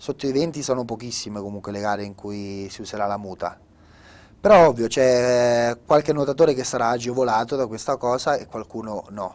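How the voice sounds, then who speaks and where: A man speaks at a fairly quick pace with ordinary pitch variation. His loudness swings widely. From Italy, Marche. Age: 20s. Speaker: open water swimmer; guest. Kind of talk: interview. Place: studio.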